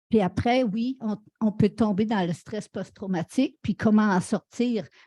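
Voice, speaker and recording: Her voice is fairly high, somewhat breathy and dark and mellow in tone, with ordinary pitch variation. The woman speaks at a fairly slow pace in a dry, close sound with no echo. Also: quiet background. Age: 70s. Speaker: panelist. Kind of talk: panel discussion.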